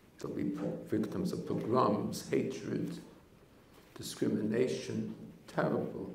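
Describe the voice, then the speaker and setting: A man's very deep, low voice with very wide pitch swings, a very slow pace and long, frequent pauses, plus audible room echo and noticeable background noise. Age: 80s+. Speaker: rabbi, head of a yeshiva. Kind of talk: Torah talk.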